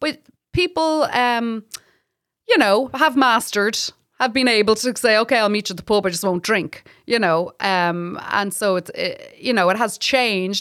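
In a very clean recording with a silent background, a woman with an Irish accent speaks at a moderate pace, her fairly high voice moving with lively intonation. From Ireland (Republic). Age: 40s. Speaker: stand-up comedian. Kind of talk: casual chat. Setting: studio.

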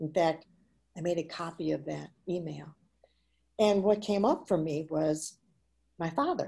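A woman with an American accent speaks at a fairly slow pace in a fairly low pitch with vocal fry, ordinary pitch variation, and long, frequent pauses. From Chicago, Illinois. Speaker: children's book author. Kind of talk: interview. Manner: halting.

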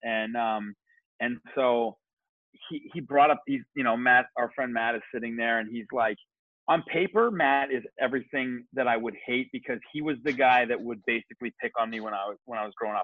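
This man has a Canadian accent and a plain, everyday voice. He talks at a fairly quick pace. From Kitchener, Ontario, Canada. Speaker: barber and barbershop owner. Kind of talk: casual interview chat.

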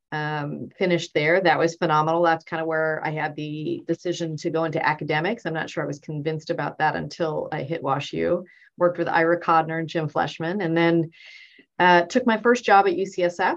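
A woman with a Californian accent speaks at a fairly quick pace, her fairly low voice held in fairly even intonation. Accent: Californian American. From US West Coast. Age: 50s. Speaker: surgeon. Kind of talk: casual interview.

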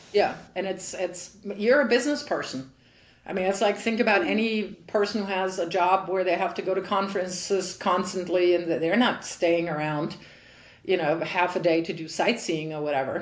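Speaking with a German accent at a moderate pace, a woman has a medium pitch and ordinary pitch variation, with audible room echo. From Germany. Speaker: tennis coach and former pro player. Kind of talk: interview.

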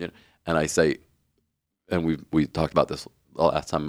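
The recording is very clean with a silent background and a dry, close sound with no echo. A man talks at a moderate pace in a very deep, low pitch with vocal fry. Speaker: co-host, parish staff member. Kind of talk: casual chat about faith and sports.

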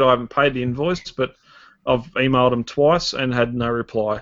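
A man with an Australian accent talks at a moderate pace in a medium-pitched voice, his intonation fairly even. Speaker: podcast co-host. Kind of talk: casual chat.

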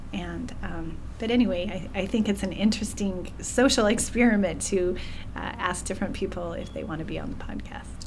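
At a fairly quick pace, a woman speaks with big swings in loudness. Noticeable background noise is audible behind her. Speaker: podcast co-host. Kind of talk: casual chat. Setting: studio.

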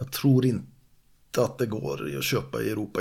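A man speaks with a fairly low pitch and a somewhat breathy voice. His intonation is lively. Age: 50s. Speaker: martial artist and fishing guide. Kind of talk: casual chat.

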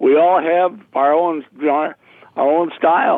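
This man has a Minnesota accent and a fairly high pitch. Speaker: retired public address announcer and banquet emcee. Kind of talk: casual interview. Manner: animated.

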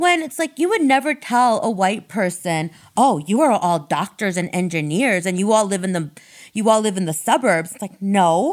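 A woman talks at a moderate pace in a normal speaking voice, medium in pitch with lively intonation. The recording is very clean, with a silent background. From Ohio, suburb of Akron. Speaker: therapist. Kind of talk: casual interview chat. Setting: office studio.

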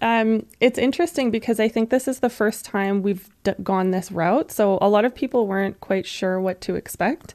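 Speaking at a fairly slow pace, a woman with an unremarkable speaking voice uses lively intonation. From western Canada, Alberta. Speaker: veterinary technician and animal welfare campaigner. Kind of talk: interview.

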